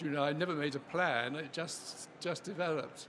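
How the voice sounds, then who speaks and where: A man talks at a moderate pace in a fairly high pitch. His intonation stays fairly even. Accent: English. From England. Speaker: scientist. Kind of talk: interview.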